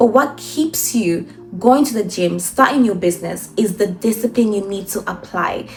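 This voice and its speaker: Over background music, a woman's pitch varies in an ordinary way as she talks at a moderate pace. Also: medium pitch for a woman. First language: not English. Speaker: self-improvement vlogger. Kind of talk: motivational monologue. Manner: animated.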